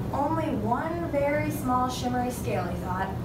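A woman speaks while loud noise fills the background. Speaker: student teacher reading aloud. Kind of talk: storybook read-aloud. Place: classroom. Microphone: camera far.

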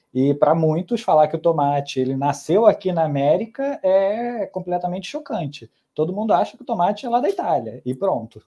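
Against a quiet background, a man with a high pitch and a dark, mellow tone talks at a fairly quick pace with hardly any pauses, his pitch swinging very widely. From Brazil. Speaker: gastronomy student and food podcast researcher; food podcast researcher. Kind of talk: casual interview. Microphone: earbuds.

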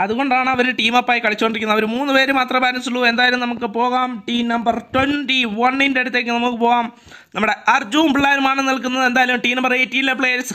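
A man speaks at an extremely high pitch in a raised, projected voice. His intonation is monotone and flat, and his loudness very even. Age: 20s. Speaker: gaming streamer and match commentator. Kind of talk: live commentary.

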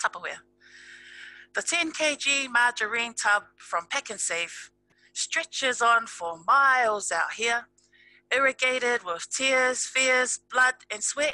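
Very slow speech from a woman in a South Auckland accent, high-pitched, with a dry sound and no echo. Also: ordinary pitch variation. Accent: South Auckland New Zealand. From New Zealand. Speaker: spoken word poet. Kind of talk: slam poetry performance. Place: home room. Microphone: headset.

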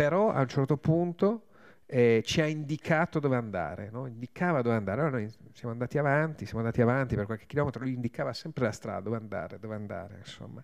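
A man talks at a very fast clip with lively intonation over a quiet background. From Trieste, north-east Italy; Italy. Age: 50s. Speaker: war journalist. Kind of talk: talk at a public event. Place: hall. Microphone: podium.

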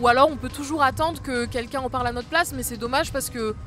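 Clear music plays in the background as a woman speaks. The sound is dry, with no echo. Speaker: singer-songwriter. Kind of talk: interview answer. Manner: casual, hesitant. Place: open country. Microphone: handheld.

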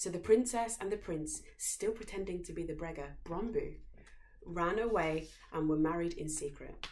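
With audible room echo, a woman speaks at a moderate pace in a fairly low pitch with a slightly mellow tone. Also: ordinary pitch variation.

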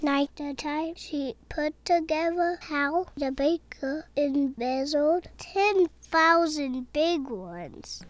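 Hardly pausing, a woman speaks at a very slow pace with a high pitch. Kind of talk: film noir voiceover. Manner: world-weary, wisecracking.

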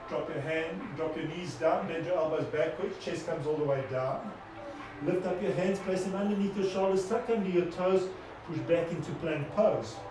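Noticeable background noise sits behind a man who speaks with high pitch at a moderate pace. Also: ordinary pitch variation. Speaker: yoga instructor. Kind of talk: live online yoga class, guiding poses in a calm, steady cue-by-cue voice. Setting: video call. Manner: encouraging and affectionate.

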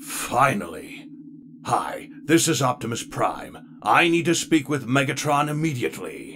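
A man puts on a character voice, with background noise clearly audible. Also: moderate pace. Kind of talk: comic dub.

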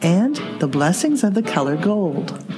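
A woman's fairly low voice at a moderate pace, swinging very widely in pitch, with clear music in the background. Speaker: color therapist and podcast host. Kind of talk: podcast introduction to camera/mic. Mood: warm, gentle. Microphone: studio mic.

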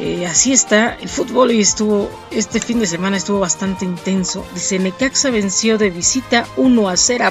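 A woman's voice at a moderate pace, ordinary pitch variation, dry sound with no echo, and clear music in the background. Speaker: news host. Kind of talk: news reading. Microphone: webcam.

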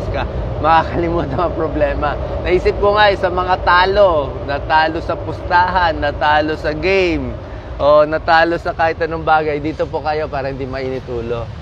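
Amid noticeable background noise, a man speaks at a moderate pace, and the sound is dry with no echo. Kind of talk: casual vlog chat. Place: garden. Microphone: phone near.

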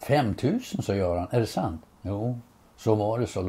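The clip is plain reading aloud.

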